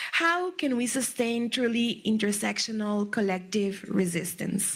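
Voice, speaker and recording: There is noticeable background noise behind this speaker with a Quebec accent. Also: woman. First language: French. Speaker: moderator. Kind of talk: panel discussion. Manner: halting.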